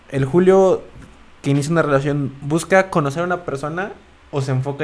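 The speech comes at a fairly quick pace with ordinary pitch variation. Noticeable background noise is present. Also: man. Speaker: podcast co-host. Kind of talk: casual chat.

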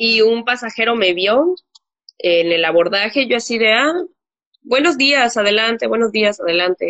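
A woman talks in a plain, everyday voice at a fairly high pitch and a fairly slow pace. Her intonation is lively and her loudness very even. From Mexico. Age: 20s. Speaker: flight attendant. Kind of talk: interview.

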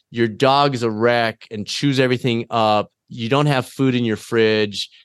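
Against a quiet background, a man with a plain, everyday voice speaks at a fairly slow pace, with a medium pitch and fairly even intonation. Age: 50s. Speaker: fitness coaching company CEO and endurance athlete. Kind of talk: casual interview.

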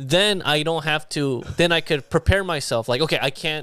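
A man talks at a fairly high pitch with a bright, sharp tone. The recording is very clean, with a silent background. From South Korea. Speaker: comedian. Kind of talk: casual chat.

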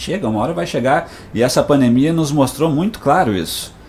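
A man with a fairly high voice talks at a moderate pace amid noticeable background noise and audible room echo. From Rio Grande do Sul, Brazil (Passo Fundo). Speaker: pastor and psychoanalyst. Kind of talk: radio interview with sermon-style message. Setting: radio studio.

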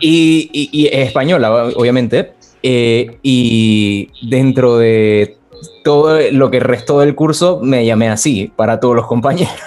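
A man's medium-pitched voice at a very slow pace, with very even loudness and ordinary pitch variation. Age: 20s. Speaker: communicator and former radio producer. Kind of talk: interview. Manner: halting, many repetitions.

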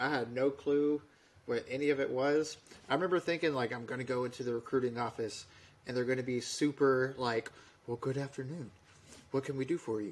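A man speaks with an American accent in an unremarkable speaking voice. His pitch is medium, his intonation fairly even and his pace fairly quick. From Alabama, US South. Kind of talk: casual chat, storytelling.

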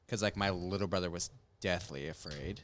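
In a very clean recording with a silent background, a male speaker keeps a moderate pace. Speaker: podcast co-host. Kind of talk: casual chat. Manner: animated.

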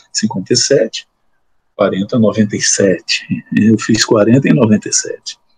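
The man's speech sounds dry and close, without any echo. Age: 60s. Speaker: law professor and judge. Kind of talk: interview. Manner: halting, many repetitions.

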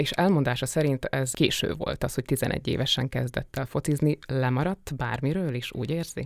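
A woman's very deep, low voice carries ordinary pitch variation and moves at a moderate pace. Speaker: podcast interviewer. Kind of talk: interview conversation. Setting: studio. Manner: formal, polite.

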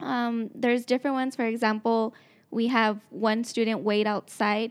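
At a moderate pace, a woman speaks in a normal speaking voice, fairly high-pitched with fairly even intonation. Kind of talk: radio interview. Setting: radio studio.

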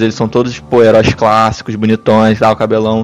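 Music plays in the background while a man speaks. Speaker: podcast panelist. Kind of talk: casual chat.

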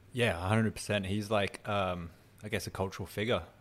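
This is a very clean recording with a silent background. A man speaks with a British accent. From UK. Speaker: studio crew member. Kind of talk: casual chat. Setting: studio.

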